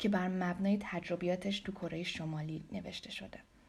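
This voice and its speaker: A woman speaks at a fairly slow pace with a fairly low pitch. Her tone is dark and mellow, with vocal fry. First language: Persian. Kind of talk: scripted introduction read aloud in Persian.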